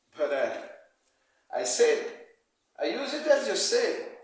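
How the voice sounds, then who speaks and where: With a Brazilian Portuguese accent, a man speaks at a fairly slow pace in a room with audible echo. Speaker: amateur guitar player. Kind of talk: video message to a musician. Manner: halting, many repetitions.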